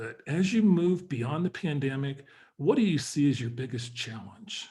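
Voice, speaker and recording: A man speaks with a fairly high pitch and a somewhat breathy voice. His intonation is lively. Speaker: webinar host and business advisor. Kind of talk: webinar presentation. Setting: online webinar.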